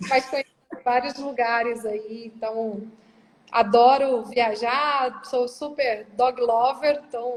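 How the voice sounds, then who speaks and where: Very slow and high in pitch, a woman speaks with fairly even intonation in a strong Minas Gerais accent. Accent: strong Minas Gerais (mineiro). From Brazil, Rondônia then Minas Gerais. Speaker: corporate operations director. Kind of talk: interview. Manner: casual, conversational.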